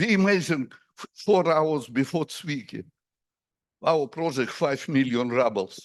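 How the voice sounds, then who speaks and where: Lively intonation marks this man's very slow speech. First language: Russian. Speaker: astronomer. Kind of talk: conference Q&A. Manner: halting.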